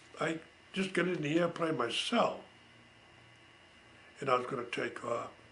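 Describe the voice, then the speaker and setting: A man's fairly high-pitched voice with an American accent at a moderate pace, with audible room echo and noticeable background noise. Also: long, frequent pauses. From Massachusetts. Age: 80s+. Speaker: war veteran. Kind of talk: storytelling. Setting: home. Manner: casual.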